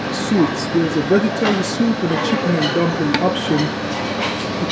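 Loud background noise accompanies a male speaker talking at a moderate pace. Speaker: travel vlogger. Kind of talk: casual vlog chat. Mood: upbeat, enthusiastic. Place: hall. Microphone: lapel.

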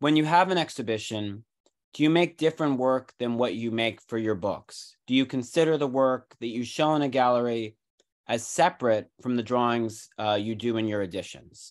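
A man with an American accent at a moderate pace, ordinary pitch variation, and a quiet background. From United States. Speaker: symposium host. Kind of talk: introducing a guest, casual moderating. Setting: video call. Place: home room. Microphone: video call.

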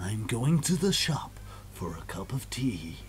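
Over clear background noise, a man puts on a character voice with a dramatic tone, medium pitch and a fairly slow pace. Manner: dramatic, important-sounding.

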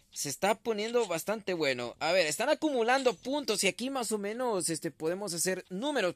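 With an animated tone and lively intonation, a man speaks at a moderate pace with hardly any pauses, in a very clean, dry, close recording with a silent background and no echo. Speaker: gaming streamer commentating a tournament. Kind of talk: live commentary.

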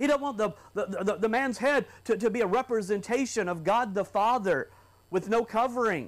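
Pitch shifts by an ordinary amount while the delivery holds a moderate speed. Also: man. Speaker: preacher. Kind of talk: sermon. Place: church. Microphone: lapel.

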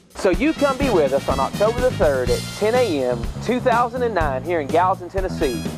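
A man talks with hardly any pauses in a dry sound with no echo. Clear music plays in the background. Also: fairly quick pace. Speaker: auctioneer. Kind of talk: real estate auction promo. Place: garden.

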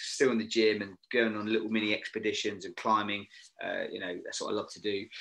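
With a British accent, a man speaks in a fairly low, bright and sharp voice with monotone, flat intonation against a quiet background. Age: 50s. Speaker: former Royal Marine, TV location scout and safety manager; podcast guest. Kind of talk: casual chat. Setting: video call. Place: home room. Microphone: video call.

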